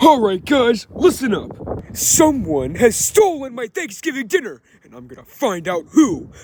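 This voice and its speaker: In a cartoonish character voice, a man talks at an extremely high pitch and a moderate pace. His pitch swings very widely. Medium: puppet.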